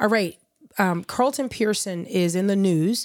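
An ordinary speaking voice from a woman, fairly slow, with ordinary pitch variation, on a very clean recording with a silent background. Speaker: podcast host.

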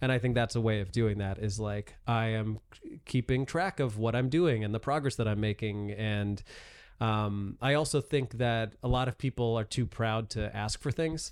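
A man talks in a normal speaking voice at a medium pitch. His pitch varies in an ordinary way, and his pace is moderate. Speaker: stand-up comedian. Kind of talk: casual chat.

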